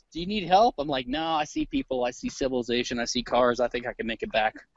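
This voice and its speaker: A man in an American accent talks at a fairly quick pace with very wide pitch swings while music plays in the background. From Louisiana, US South. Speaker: libertarian commentator. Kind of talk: casual chat. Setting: outdoors, walking a forest trail; video call on iPad. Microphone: very quiet.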